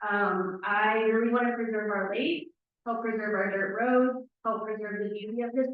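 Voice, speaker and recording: Using a plain, everyday voice, a woman with an American accent and a fairly high pitch talks at a fairly quick pace with fairly even intonation. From Windermere, Florida. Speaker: town council candidate. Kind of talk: candidate speech at a public forum. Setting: town hall forum with audience.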